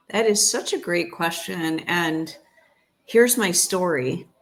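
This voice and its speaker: A woman's vocal fry in an American accent, at a very slow pace. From United States. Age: 60s. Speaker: chiropractor and holistic health practitioner. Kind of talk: interview.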